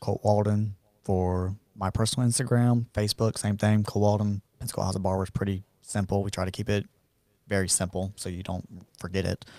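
A man's fairly low, dark, mellow voice with a Southern US accent, fairly quick and monotone, flat in intonation, dry and close with no echo on a very clean recording with a silent background. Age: 30s. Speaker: barber. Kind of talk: casual interview chat.

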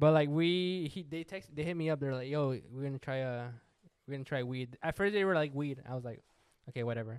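A man with an unremarkable speaking voice talks at a fairly quick pace and fairly high pitch, with ordinary pitch variation. His recording is very clean, and the background is silent. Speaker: podcast co-host. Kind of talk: casual banter.

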